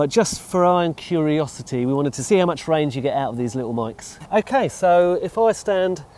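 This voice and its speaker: Speaking with an English accent, a man uses a fairly high pitch and lively intonation. He moves at a fairly quick pace with hardly any pauses. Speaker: narrowboat vlogger. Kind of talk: product review vlog; casual chat. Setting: outdoors. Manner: loud.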